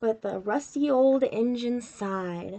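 A woman's fairly high pitch and dark, mellow tone at a slow pace, with ordinary pitch variation

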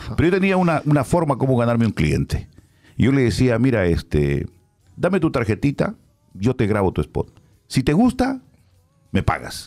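The pitch swings very widely, with vocal fry throughout. Long pauses come often against a quiet background. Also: man, moderate pace. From Peru. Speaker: radio announcer. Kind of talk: casual chat. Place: studio. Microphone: studio mic.

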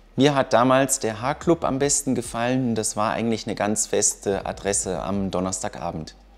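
Hardly pausing, a man talks at a moderate pace with ordinary pitch variation. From Düsseldorf, Germany; Germany. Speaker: engineer, university alumnus. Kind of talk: interview. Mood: relaxed, friendly. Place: workshop.

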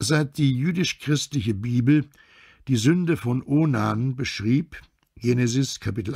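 A somewhat breathy man speaks at a fairly slow pace. The recording is very clean with a silent background. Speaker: actor and dubbing voice actor. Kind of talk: audiobook reading.

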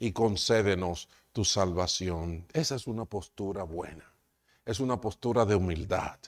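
A man speaks very slowly against a quiet background. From Dominican Republic. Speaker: pastor. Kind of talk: sermon. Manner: halting. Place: church. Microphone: lapel.

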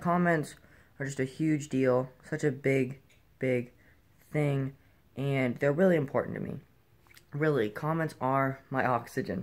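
A man speaks with fairly even intonation. His pace is moderate. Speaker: vlogger. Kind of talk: casual vlog chat. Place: home room. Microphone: phone near.

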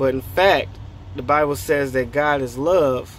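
A man speaks at a fairly slow pace. The sound is dry with no echo, and there is light background noise. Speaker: faith vlogger. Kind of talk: casual vlog chat, preaching. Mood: earnest, encouraging. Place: car. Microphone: phone near.

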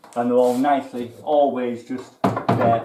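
A man speaks at a fairly slow pace. Audible room echo and light background noise surround his voice. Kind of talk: casual tour explanation. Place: workshop.

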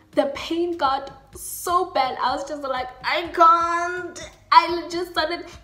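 A woman speaks very slowly in a raised, projected voice, extremely high-pitched, with big swings in loudness. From South Africa. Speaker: YouTuber. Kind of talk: storytime, casual talk to camera. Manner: animated, expressive. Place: home room. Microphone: webcam.

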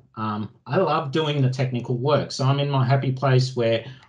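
A man with an Australian accent speaks in a somewhat breathy voice. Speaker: IT automation expert presenting at user group; presenter. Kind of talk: technical presentation with screen demo. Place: home room. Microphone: video call.

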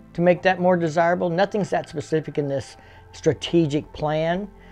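High-pitched man at a moderate pace, faint music in the background. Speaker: motorcycle enthusiast vlogger. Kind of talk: commentary. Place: garage. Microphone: webcam.

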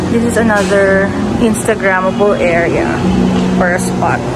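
Loud background noise fills the recording. The speech comes at a moderate pace. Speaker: vlogger. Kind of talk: casual vlog chat. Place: cafe. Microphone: phone near.

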